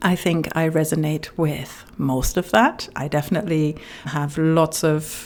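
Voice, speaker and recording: The woman's voice has a very deep, low pitch. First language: not English. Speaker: relationship coach. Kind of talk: reading aloud with personal commentary.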